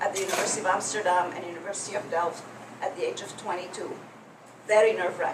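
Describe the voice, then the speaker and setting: Audible room echo and noticeable background noise accompany a woman as she talks. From Egypt. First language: French. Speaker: public speaking coach. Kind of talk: workshop presentation.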